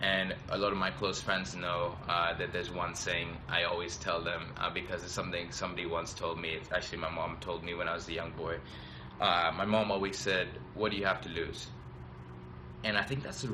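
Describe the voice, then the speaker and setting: Audible room echo and noticeable background noise surround a man's very deep, low voice. He speaks at a moderate pace with ordinary pitch variation. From Tanzania. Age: 20s. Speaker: business school student. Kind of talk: live stream talk. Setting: live video stream. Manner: hesitant, many fillers.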